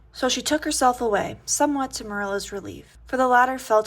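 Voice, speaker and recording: Soft-spoken and fairly quick, a woman talks with ordinary pitch variation. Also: very clean recording, silent background. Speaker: audiobook reader. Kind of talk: reading aloud.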